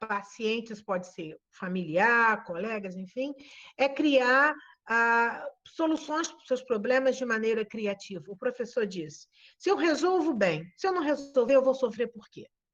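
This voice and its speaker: With a high pitch and very wide pitch swings, a woman speaks at a fairly slow pace against a quiet background. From Brazil, interior of Espírito Santo. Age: 60s. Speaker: nurse educator. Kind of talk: webinar talk. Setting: video call.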